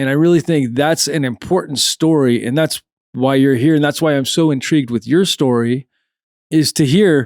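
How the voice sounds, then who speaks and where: In a very clean recording with a silent background and a dry, close sound with no echo, a man with an unremarkable speaking voice talks at a fairly high pitch and a fairly quick pace. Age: 40s. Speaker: podcast host. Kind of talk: casual interview chat.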